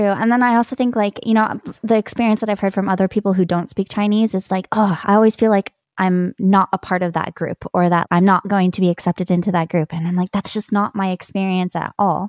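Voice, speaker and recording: A woman with an American accent speaks in an unremarkable speaking voice, medium in pitch with fairly even intonation, at a fairly quick pace with hardly any pauses. The sound is dry and close with no echo, on a very clean recording with a silent background. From California. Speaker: polyglot, language coach. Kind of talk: interview.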